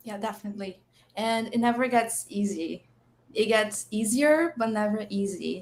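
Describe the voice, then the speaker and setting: A fairly high-pitched woman with a Portuguese accent, at a moderate pace with ordinary pitch variation. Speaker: UX designer. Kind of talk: live stream chat.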